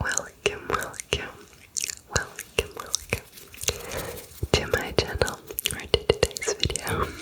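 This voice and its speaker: Noticeable background noise sits beneath a woman who whispers at a very slow pace. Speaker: ASMR creator. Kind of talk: casual rambling talk to camera. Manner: whispered.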